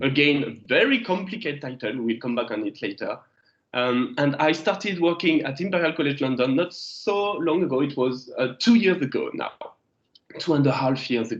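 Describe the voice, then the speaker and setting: With a French accent, a man speaks at a moderate pace in a fairly high pitch, his intonation lively. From France. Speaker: geology lecturer. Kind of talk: lecture. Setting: video call. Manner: hesitant, many fillers.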